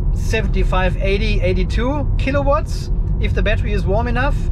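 A man talking at a moderate pace over loud background noise. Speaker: car owner vlogger. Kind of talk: casual vlog chat. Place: car. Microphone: phone near.

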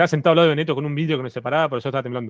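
A man talks with ordinary pitch variation over a quiet background. The sound is dry, with no echo. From Argentina. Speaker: guest streamer; guest. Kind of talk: casual chat. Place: home room. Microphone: studio mic.

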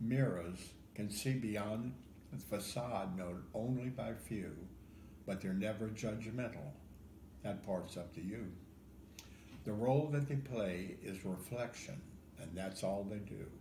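Over light background noise and audible room echo, a man with an American accent speaks at a very slow pace. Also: fairly low pitch for a man, ordinary pitch variation. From Ohio. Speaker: poet. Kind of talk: poetry reading. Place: home room. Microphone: phone near.

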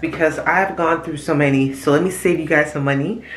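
Against audible room echo, a woman speaks with fairly even intonation. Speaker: mother vlogger. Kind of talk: casual vlog chat. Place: bathroom. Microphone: phone near.

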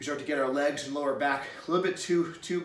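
A man talks at a moderate pace with fairly even intonation. There is audible echo from the room. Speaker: strength coach. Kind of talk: fitness advice talk to camera. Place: garage. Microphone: camera far.

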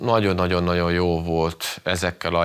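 Delivered at a fairly slow pace over a quiet background, the speech has a monotone, flat intonation. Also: man. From Hungary. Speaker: former footballer and coach. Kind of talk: casual interview, personal storytelling. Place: studio.

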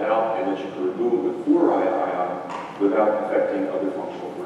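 A man talks at a fairly quick pace amid noticeable background noise and strong room echo. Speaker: speaker. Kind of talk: lecture. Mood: amused, anecdotal. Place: classroom.

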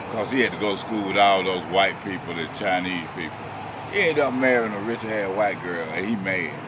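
Over noticeable background noise, a man talks fairly quickly in a fairly low pitch with ordinary pitch variation. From Chattanooga, Tennessee; Tennessee. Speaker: local man interviewed at a store; interviewee. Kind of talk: casual banter. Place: street. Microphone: phone near.

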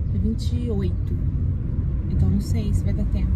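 This woman's speech is accompanied by loud background noise. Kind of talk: casual vlog chat. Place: car. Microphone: phone near.

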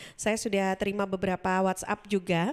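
The speaker is a woman. Little sound rises from the quiet background. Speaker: radio host. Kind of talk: radio talk show. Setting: studio. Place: studio. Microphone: studio mic.

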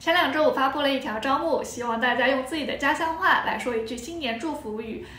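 Here a woman speaks at a high pitch. Room echo is audible around her voice. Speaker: Chinese language teacher. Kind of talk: casual talk to camera. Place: home room. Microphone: phone near.

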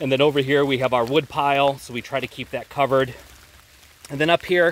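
A man speaks at a fairly quick pace. The sound is dry, with no echo. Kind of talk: casual walk-through tour. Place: forest. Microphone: phone near.

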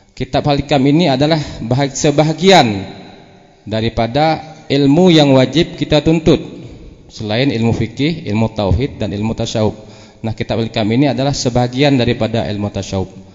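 A man at medium pitch and a moderate pace, ordinary pitch variation, noticeable background noise. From Jambi, Sumatra. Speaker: Islamic preacher. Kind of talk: formal speech. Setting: religious gathering with audience.

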